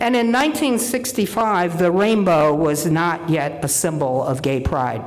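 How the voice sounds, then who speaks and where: A woman with a fairly low pitch speaks very slowly, her pitch swinging very widely. Audible room echo and noticeable background noise surround her voice. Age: 70s. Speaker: minister. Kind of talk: sermon.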